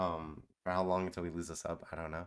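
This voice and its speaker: Against a quiet background, the talking goes at a medium speed. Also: man. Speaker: reaction streamer. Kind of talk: casual stream chat. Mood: relaxed, joking. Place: home room.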